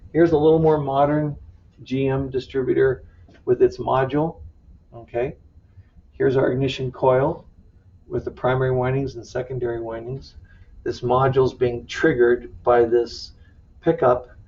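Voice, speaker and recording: A somewhat breathy man with long, frequent pauses. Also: medium pitch for a man. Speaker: automotive instructor. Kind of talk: lecture. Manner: fast.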